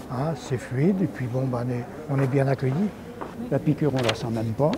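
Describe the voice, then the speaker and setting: Over noticeable background noise, a man speaks at a moderate pace. His voice is medium in pitch with ordinary pitch variation. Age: 70s. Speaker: vaccinated resident. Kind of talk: vox pop interview.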